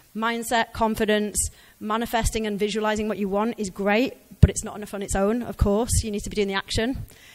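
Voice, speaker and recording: A woman with an English accent speaks at a fairly high pitch, her intonation monotone and flat. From England. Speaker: career speaker, ex-recruiter. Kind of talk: conference talk. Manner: conversational.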